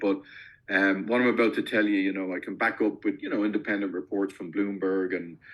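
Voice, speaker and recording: A man with an Irish accent speaks against a quiet background. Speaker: company founder, investment specialist. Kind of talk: podcast interview. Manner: hesitant, many fillers and restarts.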